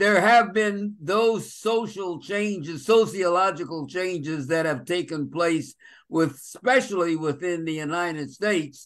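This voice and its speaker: A man's high, bright, sharp voice at a fairly slow pace with ordinary pitch variation. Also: quiet background. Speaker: pastor. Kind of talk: panel discussion. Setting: video call. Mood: calm, reflective. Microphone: video call.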